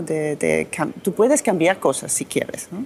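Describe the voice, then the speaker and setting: A woman at a fairly slow pace, in a German accent. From Austria. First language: German (speaking Spanish). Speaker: politician. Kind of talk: interview. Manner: halting, many restarts and fillers.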